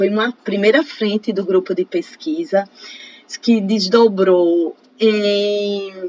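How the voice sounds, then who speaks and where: A woman speaks at a very slow pace in a medium pitch. Her pitch varies in an ordinary way over noticeable background noise. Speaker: professor and researcher. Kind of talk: interview.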